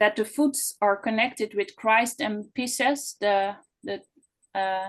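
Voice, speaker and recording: A woman speaks very slowly with a non-native accent. Her pitch is fairly high, with ordinary variation. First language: not English. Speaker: audience member asking a question. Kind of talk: question in online Q&A. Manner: halting, many fillers and restarts.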